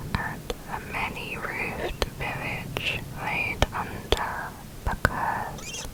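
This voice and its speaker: A whisper at a very slow pace over noticeable background noise. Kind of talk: ASMR poetry reading.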